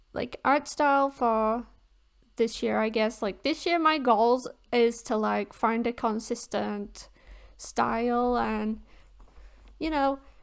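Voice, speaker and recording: A woman speaking very slowly, with long and frequent pauses. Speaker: art youtuber. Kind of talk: voiceover commentary over speedpaint. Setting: recording at home. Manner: casual, hesitant with fillers.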